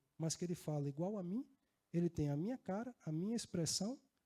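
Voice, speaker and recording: A man speaks in a northeastern Brazilian accent, high in pitch with a dark, mellow tone and very wide pitch swings. His pace is fairly quick, and the sound is dry and close with no echo. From Northeast Brazil, Natal (Rio Grande do Norte). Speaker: risk management executive and conference speaker. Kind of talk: conference talk. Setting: stage with audience. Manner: conversational, with filler words.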